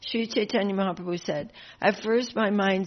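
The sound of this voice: The clip features an unforced reading voice.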